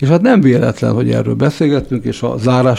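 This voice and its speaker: Dark and mellow in tone, a man's voice rests at a medium pitch. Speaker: radio host. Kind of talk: interview.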